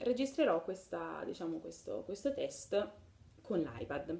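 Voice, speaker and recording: At a medium pitch and a moderate pace, a woman is speaking. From Naples. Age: 20s. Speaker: music label promoter. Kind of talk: casual video testimony.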